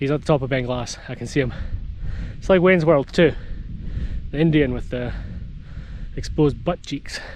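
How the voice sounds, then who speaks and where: A man with a Scottish accent, fairly high in pitch, at a fairly quick pace with ordinary pitch variation, against noticeable background noise. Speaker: hiking vlogger. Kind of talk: outdoor vlog narration. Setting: outdoors on mountain. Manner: casual; shouting.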